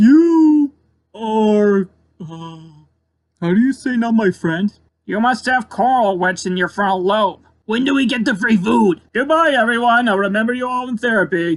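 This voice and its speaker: A put-on character voice at a fairly high pitch, delivered at a moderate pace. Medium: voice reel. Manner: playful.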